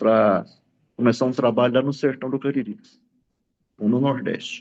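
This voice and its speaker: At a fairly slow pace, a man talks in a medium-pitched voice with ordinary pitch variation. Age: 60s. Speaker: pastor. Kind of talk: testimony.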